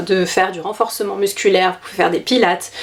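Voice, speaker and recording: Fairly even intonation from a woman at medium pitch, over noticeable background noise. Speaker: dance vlogger, amateur ballet dancer. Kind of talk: casual vlog tutorial. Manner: hesitant, many fillers.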